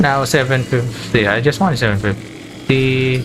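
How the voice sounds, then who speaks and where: A man at a medium pitch and fairly slow pace, with audible room echo and noticeable background noise. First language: Filipino local language. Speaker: game streamer. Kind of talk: casual live-stream chat. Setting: live stream. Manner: casual, simple wording.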